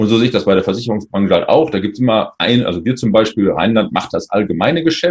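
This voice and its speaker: This man speaks very fast. His intonation sounds lively. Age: 40s. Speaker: insurance agent. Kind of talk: interview.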